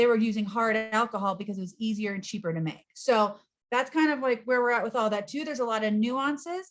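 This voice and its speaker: Against a quiet background, a woman talks at a fairly quick pace. Her pitch is fairly high, with ordinary variation. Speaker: nonprofit executive director. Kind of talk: presentation. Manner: fast.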